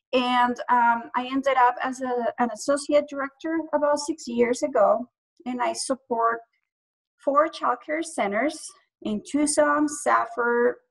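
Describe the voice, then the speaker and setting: A woman's high-pitched voice at a fairly slow pace with fairly even intonation. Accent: Spanish. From Colombia. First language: Spanish. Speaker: early childhood program director. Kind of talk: panel discussion introduction. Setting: video call.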